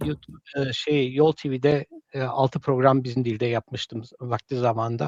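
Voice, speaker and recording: A man speaks at a medium pitch and a fairly slow pace. His intonation is fairly even, and the sound is dry and close with no echo. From Germany. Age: 50s. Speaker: Zaza language teacher. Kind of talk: live stream interview. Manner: halting, many fillers.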